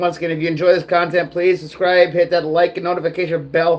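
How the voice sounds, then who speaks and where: A man with an American accent speaks with a high pitch. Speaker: livestream ranter. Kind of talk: casual livestream rant.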